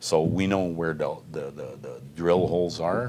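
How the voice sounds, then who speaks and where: In a Quebec French accent, a man with a very deep, low pitch and a dark, mellow tone speaks fairly slowly. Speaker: mining company executive. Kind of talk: interview. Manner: halting.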